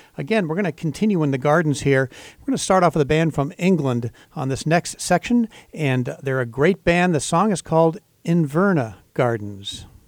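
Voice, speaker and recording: A normal speaking voice from a man at a moderate pace, lively in intonation, with a dry, close sound and no echo. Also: fairly high pitch for a man. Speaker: radio host. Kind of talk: radio station announcer. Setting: radio studio. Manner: upbeat, clear, rehearsed station-ID delivery.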